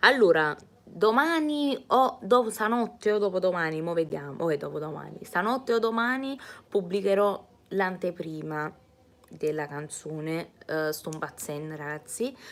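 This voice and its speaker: A woman speaks in an animated tone at a medium pitch, with very wide pitch swings. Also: fairly slow pace. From Naples, Italy. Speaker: singer. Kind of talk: live stream chat reading comments. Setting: live streaming from home. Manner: chatty, animated.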